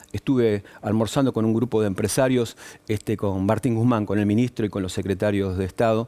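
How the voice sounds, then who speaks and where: A man speaks with a dark, mellow tone at a medium pitch. His pace is moderate. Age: 60s. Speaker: business association leader. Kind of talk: TV news interview. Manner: hesitant with fillers.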